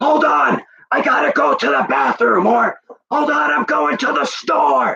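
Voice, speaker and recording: A man shouting in a raised, projected put-on character voice, at an extremely high pitch and moderate pace. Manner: yelling.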